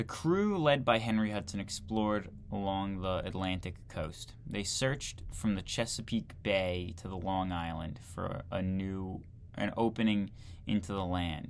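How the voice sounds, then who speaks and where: Over light background noise, a man with a fairly low pitch speaks at a fairly slow pace with ordinary pitch variation. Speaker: video creator reading a textbook aloud. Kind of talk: reading aloud from a 1940 history textbook, with casual asides. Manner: conversational, incredulous commentary between passages. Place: home room. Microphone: webcam.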